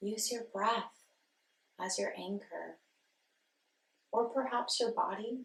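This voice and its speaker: Speaking very slowly with long, frequent pauses, a woman with a fairly high pitch and vocal fry keeps a calm tone and monotone, flat intonation. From Nashville, Tennessee. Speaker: meditation guide; yoga instructor and life coach. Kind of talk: guided meditation. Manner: calm, soft-spoken, slow.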